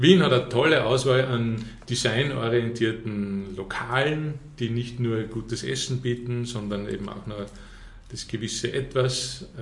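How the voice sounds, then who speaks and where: Someone speaks with an Austrian accent at a fairly slow pace, with fairly even intonation. Noticeable background noise and audible room echo are present. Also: man, medium pitch for a man. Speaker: tourism representative. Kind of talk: quiz game reading statements.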